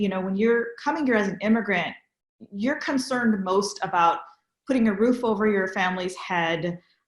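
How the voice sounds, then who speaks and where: A woman with a West Coast US accent talks at a moderate pace, her voice fairly high and somewhat breathy. Her pitch varies in an ordinary way. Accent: General American, West Coast. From San Francisco Bay Area. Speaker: interfaith interviewer. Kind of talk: interview.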